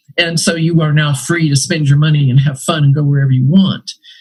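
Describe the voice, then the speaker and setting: A woman speaks in an American accent, her voice somewhat breathy. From Brazil, then United States from about age eight. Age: 70s. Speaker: retired anthropology professor. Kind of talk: interview conversation. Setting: podcast interview.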